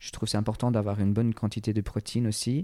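A man with an English accent speaks in a fairly low pitch, in a very clean recording with a silent background. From England. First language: English (speaking French). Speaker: personal trainer and entrepreneur. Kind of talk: interview conversation. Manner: halting.

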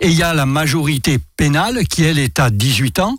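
In a southern French accent, a man speaks with vocal fry and a fairly high pitch on a very clean recording with a silent background. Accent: southern French lilt. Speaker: consumer association president. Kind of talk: radio interview. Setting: radio studio with student audience.

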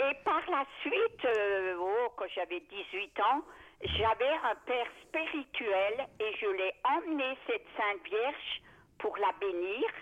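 Here a woman speaks at a very slow pace. Her fairly high voice has lively intonation. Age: 80s+. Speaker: radio caller. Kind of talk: phone-in testimony.

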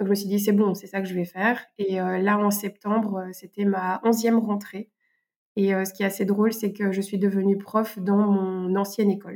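Speech proceeds at a moderate pace. Its intonation stays monotone and flat. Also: woman, medium pitch for a woman. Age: 30s. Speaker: French teacher and eco activist. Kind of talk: interview. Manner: hesitant, with fillers.

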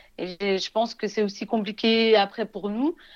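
A woman speaks in a normal speaking voice at a fairly slow pace. The background is quiet. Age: 30s. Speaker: Instagram influencer. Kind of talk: interview.

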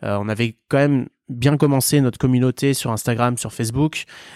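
In a very clean recording with a silent background and a dry, close sound with no echo, a man uses a plain, everyday voice at a medium pitch with ordinary pitch variation. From Vendée, western France. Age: 30s. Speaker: startup co-founder. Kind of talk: interview.

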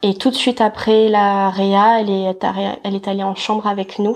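Her intonation monotone and flat, a woman speaks at a fairly slow pace and a medium pitch. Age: 20s. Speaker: mother telling her birth story. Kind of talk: personal testimony interview.

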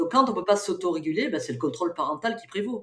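With very wide pitch swings, a woman talks at a fairly quick pace. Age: 60s. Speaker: psychologist and researcher. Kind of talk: interview.

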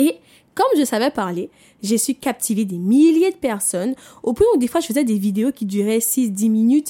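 Dark and mellow in tone, a woman's fairly high voice moves at a moderate pace with very wide pitch swings. The recording is very clean, dry and close, with a silent background and no echo. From Martinique. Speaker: personal development podcaster. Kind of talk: motivational monologue. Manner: conversational, with fillers.

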